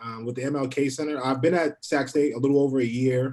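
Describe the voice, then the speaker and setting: Talking at a fairly quick pace, a man with an American accent keeps a medium pitch and monotone, flat intonation. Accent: New York accent, noticeable at times. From New York City (Harlem). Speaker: university program coordinator. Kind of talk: panel discussion. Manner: fast at times.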